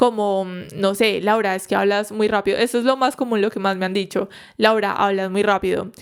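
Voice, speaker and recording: The speech comes at a very fast pace in a very clean recording with a silent background. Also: woman. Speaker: psychologist podcast host. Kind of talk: solo podcast talk. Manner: animated.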